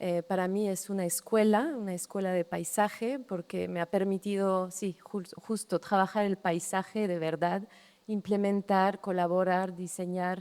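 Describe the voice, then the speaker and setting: A woman speaks at a medium pitch with a French accent. Her pace is fairly slow, with hardly any pauses. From France, Brittany. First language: French (speaking Spanish). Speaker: landscape architect. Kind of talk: public talk. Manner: halting, many repetitions.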